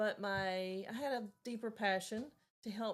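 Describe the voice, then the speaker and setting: A woman speaks with a slight Southern US accent. Her intonation stays fairly even. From Tennessee, Chattanooga. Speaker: volunteer, retired cancer center director. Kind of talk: podcast interview. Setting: studio.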